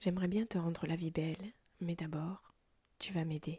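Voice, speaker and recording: Soft-spoken and somewhat breathy, a woman talks at a fairly slow pace with a fairly low pitch and a dark, mellow tone, the sound dry and close with no echo. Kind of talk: story reading with character voices. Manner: low-voiced, soft.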